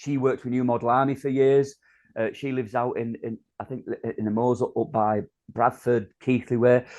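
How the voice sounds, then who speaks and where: Against a quiet background, a man with a Yorkshire accent speaks at a medium pitch in a dark, mellow tone with ordinary pitch variation. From North Yorkshire. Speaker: spoken word performer. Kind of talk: interview answer. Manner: hesitant, chatty.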